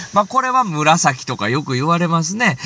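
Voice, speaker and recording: This man's voice has a bright, sharp tone and swings very widely in pitch. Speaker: solo podcaster, shrine-visiting specialist. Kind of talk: solo talk show monologue. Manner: fast.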